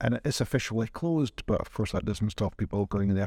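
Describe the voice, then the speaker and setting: On a very clean recording with a silent background, a man speaks at a fairly low pitch and a fairly quick pace. His tone is dark and mellow, and the sound is dry and close with no echo. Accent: Scottish. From Scotland. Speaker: podcast host. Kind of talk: interview conversation.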